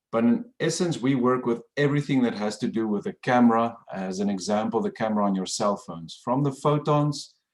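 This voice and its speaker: Barely stopping, a man talks at a fairly quick pace with hardly any pauses. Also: medium pitch for a man, lively intonation. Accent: South African. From South Africa. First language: Afrikaans. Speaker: professor. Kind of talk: lecture.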